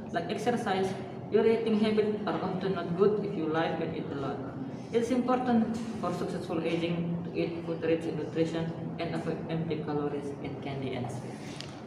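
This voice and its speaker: A man at a moderate pace amid audible room echo and loud background noise. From Indonesia. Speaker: nursing student. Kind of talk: reading aloud. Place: classroom. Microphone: camera far.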